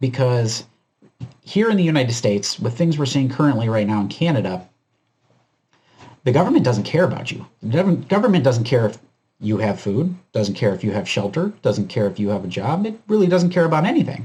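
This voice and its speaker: A man with a dark, mellow tone speaks fairly quickly and somewhat breathily, his pitch swinging very widely. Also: medium pitch for a man. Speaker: preparedness YouTuber. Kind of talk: commentary video monologue. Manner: casual, filler-heavy.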